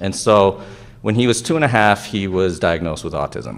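The speaker is a man. Ordinary pitch variation runs through his speech. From Japan. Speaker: anesthesiologist and researcher. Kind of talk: conference talk. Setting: stage with audience. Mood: reflective, personal. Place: hall.

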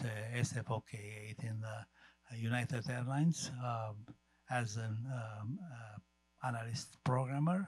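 Over faint background music, a man talks at a very slow pace in a medium pitch with fairly even intonation, the sound dry with no echo. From Romania. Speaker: audience member. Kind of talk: audience question. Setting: stage with audience. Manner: halting. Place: hall.

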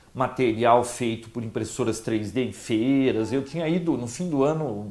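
A man speaks at a fairly slow pace. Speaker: tech channel host. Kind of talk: casual vlog chat. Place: home room. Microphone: lapel.

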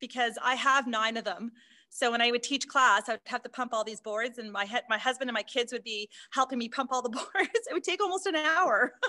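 A woman with a high pitch and lively intonation talks at a fairly quick pace in a bright, sharp tone. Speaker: aquatic fitness instructor. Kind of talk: interview answer. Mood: friendly, smiling. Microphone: video call.

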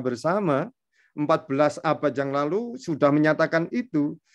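The background is quiet. A man with a fairly high pitch talks with lively intonation. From Indonesia. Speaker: Islamic studies lecturer. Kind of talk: lecture. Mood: warm, smiling explanation. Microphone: video call.

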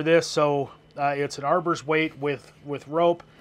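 This is a man speaking. His intonation is fairly even. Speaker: radio hobby podcaster. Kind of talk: tutorial. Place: garden.

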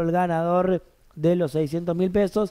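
Over a quiet background, a man's voice is heard. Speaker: bingo caller and host. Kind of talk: live bingo calling, announcing numbers and prizes. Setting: live broadcast event with a director. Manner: brisk, clear, repeating each number three times; upbeat, lively, formal-friendly. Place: studio.

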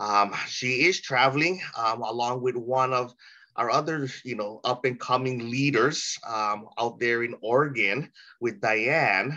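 Bright and sharp in tone, this voice carries a Hawaiian accent and ordinary pitch variation. The pace is very slow. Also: man. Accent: Hawaiian-inflected American English. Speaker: meeting host. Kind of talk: hosting an online training call. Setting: video call. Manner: warm and enthusiastic.

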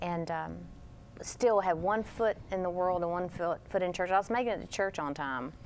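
In an ordinary speaking voice, a woman talks at a moderate pace with an American accent, a medium pitch and ordinary pitch variation. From Texas. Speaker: TV network executive. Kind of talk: religious TV interview.

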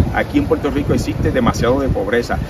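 There is loud background noise as the man talks. No echo is heard, and the sound stays dry. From Puerto Rico, Guánica area. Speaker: political candidate. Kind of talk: interview. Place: street. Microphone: handheld.

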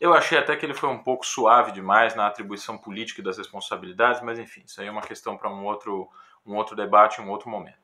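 A bright, sharp tone races at a very fast pace, with fairly even intonation and big swings in loudness. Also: man, fairly low pitch for a man. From Brazil. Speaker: music professor and classical guitarist; music professor. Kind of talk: educational talk to camera. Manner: hesitant, with frequent filler words. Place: home room. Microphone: phone near.

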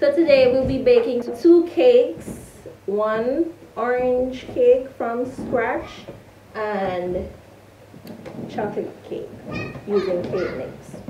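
Against noticeable background noise, a woman speaks at a very slow pace in a high pitch, leaving long, frequent pauses. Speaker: home baking vlogger. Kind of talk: casual vlog chat. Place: kitchen. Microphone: camera far.

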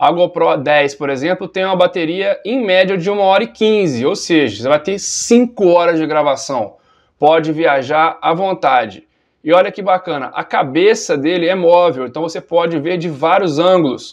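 A man's high-pitched voice at a moderate pace, with ordinary pitch variation and a quiet background. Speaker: running YouTuber. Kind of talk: product review. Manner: animated.

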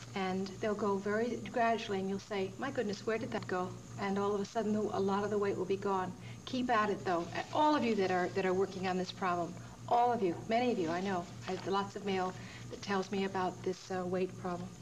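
A woman's fairly quick speech with ordinary pitch variation over noticeable background noise. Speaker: yoga show host. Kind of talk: tutorial. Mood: warm, encouraging. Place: studio.

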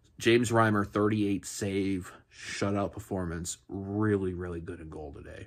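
A man with a very deep, low pitch and fairly even intonation. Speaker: sports podcast host. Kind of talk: casual sports recap commentary. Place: home room. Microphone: phone near.

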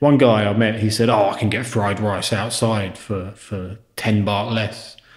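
A man with a British accent and fairly low pitch speaks at a fairly slow pace, with audible room echo against a quiet background. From United Kingdom. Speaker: history video maker. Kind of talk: podcast interview answer. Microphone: lapel.

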